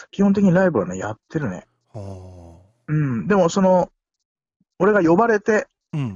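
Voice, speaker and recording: At a moderate pace, a man speaks in a high pitch with very wide pitch swings and big swings in loudness. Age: 50s. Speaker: musician. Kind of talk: casual chat. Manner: animated.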